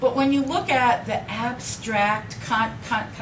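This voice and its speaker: Noticeable background noise sits behind this woman. She speaks at a very slow pace. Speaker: person who stutters. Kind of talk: public speech.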